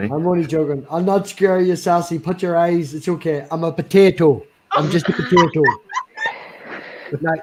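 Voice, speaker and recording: With a Northern Irish accent, a man talks at a moderate pace in a high pitch with fairly even intonation and long, frequent pauses over noticeable background noise. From Northern Ireland.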